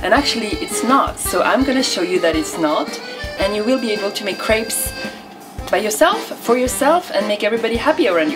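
A woman talks at a very fast pace with clear music playing in the background. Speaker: home cook. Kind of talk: cooking show talk to camera. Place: kitchen. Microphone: camera far.

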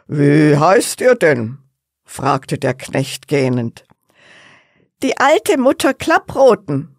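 The delivery is very slow. Long pauses come often. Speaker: storyteller reading a fairy tale. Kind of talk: bedtime story narration, calm and cozy, with gentle character voices. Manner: soft, slow, warm storytelling pace; playful, animated character voices (old woman, cheeky servant).

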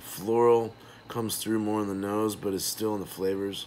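At a moderate pace, a man speaks with a fairly low pitch over light background noise. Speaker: beer reviewer. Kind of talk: casual review commentary. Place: home room. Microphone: phone near.

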